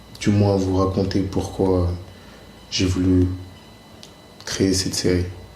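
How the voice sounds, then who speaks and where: Amid noticeable background noise and audible room echo, a man speaks very slowly in a very deep, low voice with flat, monotone intonation. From France, Vaulx-en-Velin near Lyon. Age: 20s. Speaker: filmmaker, former basketball player. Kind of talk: personal testimony to camera. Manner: hesitant, many fillers and repetitions.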